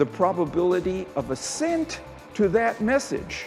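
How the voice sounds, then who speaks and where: Over music in the background, a man speaks at a high pitch. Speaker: keynote speaker and persuasion researcher. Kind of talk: keynote talk excerpts in a promotional reel.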